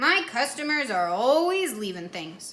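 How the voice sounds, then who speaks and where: Put-on character voice with very wide pitch swings at a moderate pace. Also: woman. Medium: read story. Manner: good-natured.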